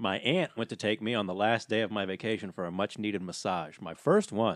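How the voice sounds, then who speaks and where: A man talks at a fairly quick pace in a plain, everyday voice, fairly low with ordinary pitch variation, in a very clean recording with a silent background and a dry, close sound with no echo. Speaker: podcast guest. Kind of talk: casual banter.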